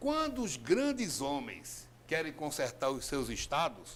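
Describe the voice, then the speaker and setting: A man is speaking. His pitch swings very widely. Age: 60s. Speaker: politician. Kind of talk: TV interview. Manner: animated.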